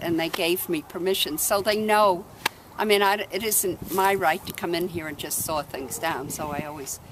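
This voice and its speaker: This is a woman with a normal speaking voice at a medium pitch. She keeps a moderate pace with ordinary pitch variation. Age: 60s. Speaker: cemetery volunteer. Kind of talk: casual talk to camera.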